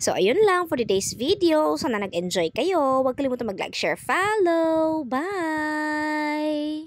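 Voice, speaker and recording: A woman's high-pitched voice at a fairly slow pace, with very wide pitch swings and hardly any pauses. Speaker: crafter and online seller. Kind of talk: tutorial. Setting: home in the province. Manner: casual.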